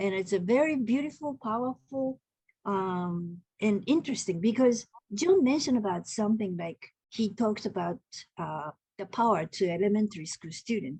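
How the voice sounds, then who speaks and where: A woman speaks at medium pitch and a moderate pace, her tone dark, mellow and somewhat breathy. Her intonation is lively, and the sound is dry and close with no echo. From Japan (Tokyo). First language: Japanese. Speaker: haiku poet and translator. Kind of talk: online group discussion. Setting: video call. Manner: halting.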